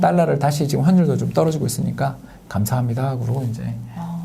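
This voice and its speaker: A man talks at a very fast pace. Noticeable background noise runs under his speech. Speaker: economist. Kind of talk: interview answer.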